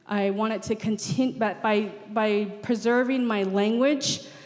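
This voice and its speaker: A woman speaks at a fairly slow pace in a fairly high voice with fairly even intonation. Noticeable background noise runs behind her. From Navajo Nation, Arizona. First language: Navajo. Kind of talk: panel discussion. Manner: halting, many repetitions and fillers.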